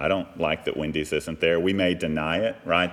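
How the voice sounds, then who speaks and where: Very deep and low, this man's voice carries an American accent. His pitch varies in an ordinary way. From US South, Texas (Fort Worth area). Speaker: pastor. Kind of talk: sermon. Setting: church.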